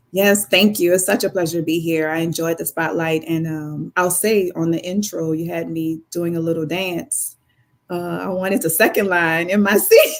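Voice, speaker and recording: Moderately paced speech in a New Orleans accent, with fairly even intonation, sits in a very clean recording with a silent background. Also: woman, fairly low pitch for a woman. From New Orleans, lower Ninth Ward. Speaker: biotech company founder and CEO. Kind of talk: casual interview.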